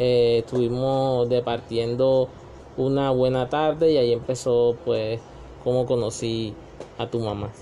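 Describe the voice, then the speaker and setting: With noticeable background noise around him, a man speaks at a medium pitch and a fairly slow pace in a monotone, flat intonation. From Colombian Caribbean coast (Magangué, Bolívar). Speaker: parent being interviewed. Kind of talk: family interview. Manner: hesitant, many fillers.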